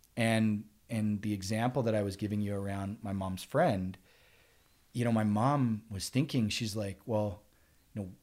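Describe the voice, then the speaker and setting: In a very clean recording with a silent background, a man talks at a fairly slow pace with fairly even intonation, an ordinary speaking voice pitched fairly low. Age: 40s. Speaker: sales professional. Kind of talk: casual interview chat.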